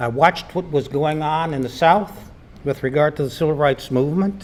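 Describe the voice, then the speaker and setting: Noticeable background noise behind a male speaker. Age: 80s+. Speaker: community panelist recalling civil rights era. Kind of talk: panel discussion testimony.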